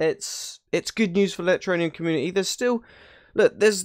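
The background is quiet. A man does the talking. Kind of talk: casual vlog commentary. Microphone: studio mic.

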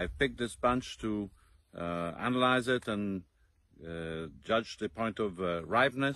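A man with a fairly low pitch speaks at a fairly slow pace, his bright, sharp tone carrying lively intonation in a dry sound with no echo. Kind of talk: casual promotional talk to camera. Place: farm. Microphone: phone near.

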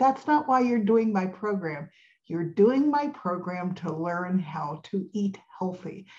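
A woman's somewhat breathy voice with lively intonation, over a quiet background. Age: 70s. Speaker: health coach and podcast host. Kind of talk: podcast monologue on health and food industry. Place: home room. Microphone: webcam.

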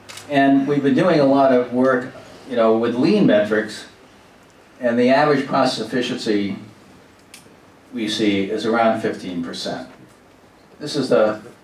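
Audible room echo surrounds a man who talks at a fairly slow pace with ordinary pitch variation and long, frequent pauses. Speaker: presenter. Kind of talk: lecture. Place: meeting room.

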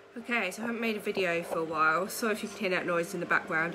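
Lively in intonation and very fast in pace, a woman speaks over noticeable background noise. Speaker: vlogger. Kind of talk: casual vlog chat. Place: home room. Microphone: phone near.

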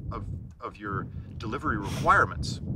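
A man's voice sounds dry, with no echo. Loud background noise surrounds it. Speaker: interviewee. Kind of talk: interview answer. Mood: reflective, earnest. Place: open country.

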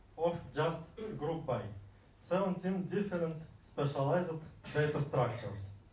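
Over noticeable background noise and audible room echo, a man talks at a fairly slow pace, his pitch fairly high with ordinary variation. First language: Russian. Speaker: software developer presenting at a meetup. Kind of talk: conference talk. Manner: halting, many fillers.

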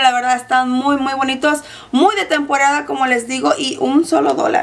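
A woman talks at a moderate pace. Her pitch is high and her tone fairly bright.

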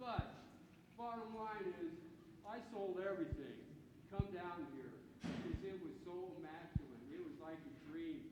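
Amid noticeable background noise and audible room echo, a high-pitched man speaks with very wide pitch swings. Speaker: retired sheet metal worker, public commenter. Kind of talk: public comment at town hall. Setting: town hall meeting in civic center. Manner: loud; repetitive, stammering starts.

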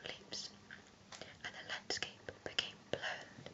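Someone whispers at a moderate pace. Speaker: story reader. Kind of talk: reading a children's story aloud. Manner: soft-spoken ASMR story reading. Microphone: webcam.

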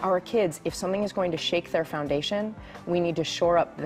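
Faint music sits in the background as a woman with a fairly low pitch talks at a fairly quick pace with ordinary pitch variation. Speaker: family physician, parenting and resilience expert. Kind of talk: keynote speech.

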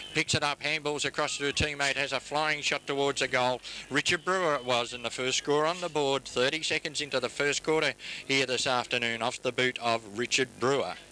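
A man with an Australian accent speaks at a fairly high pitch and fairly quick pace, his intonation fairly even, in a dry, close sound with no echo. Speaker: football commentator. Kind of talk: live commentary.

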